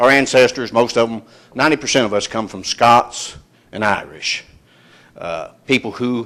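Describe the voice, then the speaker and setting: With an Appalachian accent, a man speaks in a fairly even intonation. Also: big swings in loudness. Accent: Appalachian Kentucky. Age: 60s. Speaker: retired coal miner speaking at public meeting. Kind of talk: public comment testimony. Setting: public hearing with audience. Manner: halting, many fillers.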